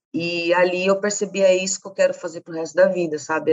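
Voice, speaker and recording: A woman's unremarkable speaking voice, fairly low in pitch, at a fairly quick pace with fairly even intonation. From Campo Grande, Mato Grosso do Sul, Brazil. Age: 30s. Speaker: feminist activist and social researcher. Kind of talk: interview conversation.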